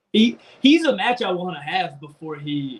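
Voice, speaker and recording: Somewhat breathy, a man's voice comes through with an American accent. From North Carolina. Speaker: professional wrestler. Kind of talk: casual interview chat.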